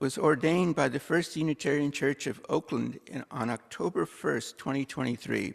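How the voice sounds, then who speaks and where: A man's vocal fry with ordinary pitch variation, on a very clean recording with a silent background. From India. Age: 60s. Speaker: church worship associate. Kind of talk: church announcements and introduction. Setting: church service. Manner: formal.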